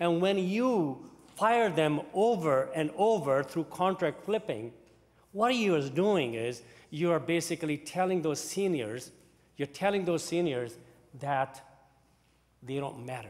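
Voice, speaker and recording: A man talks with a fairly high pitch and lively intonation. His speech has long, frequent pauses. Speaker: cabinet minister. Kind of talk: parliamentary debate speech. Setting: legislative chamber. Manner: halting. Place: hall. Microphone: podium.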